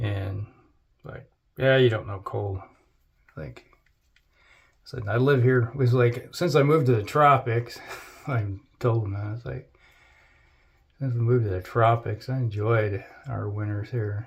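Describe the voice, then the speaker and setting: A man with an American accent talks at a fairly slow pace and medium pitch, somewhat breathy, with ordinary pitch variation. He takes long, frequent pauses, and his loudness swings widely. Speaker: wet shaving YouTuber. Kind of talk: casual chat. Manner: rambling, conversational with fillers.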